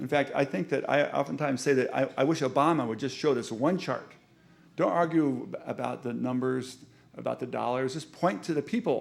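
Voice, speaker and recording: A man at a fairly quick pace, fairly high in pitch with ordinary pitch variation. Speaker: urban planning professor. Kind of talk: lecture. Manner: fast; animated.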